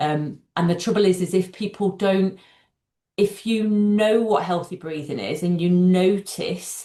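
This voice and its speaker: Fairly low in pitch, this woman's voice has a dark, mellow tone and ordinary pitch variation. She talks at a fairly slow pace against a quiet background. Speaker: doctor and breathing coach. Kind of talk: interview.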